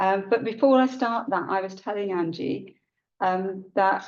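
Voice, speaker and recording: A woman with a British accent, medium pitch, ordinary pitch variation, and a moderate pace. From India, moved to UK at seven. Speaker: high sheriff, keynote speaker. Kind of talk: keynote speech. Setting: conference hall with audience.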